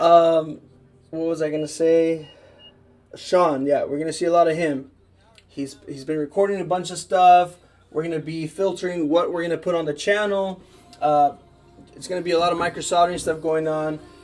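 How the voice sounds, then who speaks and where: Over music in the background, the speech runs at a moderate pace in a flat monotone, broken by long, frequent pauses. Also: man, high pitch for a man. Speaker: repair business owner and channel host. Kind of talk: casual live stream chat. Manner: casual, filler-heavy.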